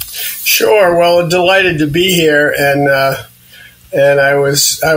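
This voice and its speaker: A man speaks at a fairly high pitch with fairly even intonation. Noticeable background noise runs under his voice. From New England. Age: 70s. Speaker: veteran mountain rescuer. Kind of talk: interview.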